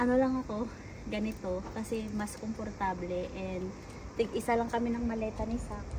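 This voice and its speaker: A fairly high-pitched woman speaks with fairly even intonation. The room echo is audible, and there is noticeable background noise. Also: moderate pace. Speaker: vlogger. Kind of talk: travel vlog. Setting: airport. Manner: quiet, not raising voice.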